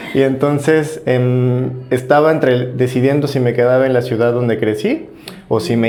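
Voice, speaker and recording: A medium-pitched male voice with fairly even intonation, audible room echo and noticeable background noise. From Mexico, Guanajuato. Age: 30s. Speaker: podcast guest, migrant graduate student. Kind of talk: interview.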